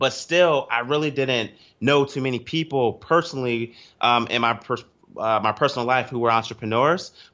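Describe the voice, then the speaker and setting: A man with an American accent talks in a plain, everyday voice at a medium pitch. His pace is moderate. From US East Coast. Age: 20s. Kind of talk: podcast interview.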